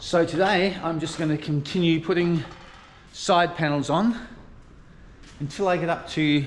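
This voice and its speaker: The speaker is a man with ordinary pitch variation. He keeps a moderate pace. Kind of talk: casual vlog chat. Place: workshop. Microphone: phone near.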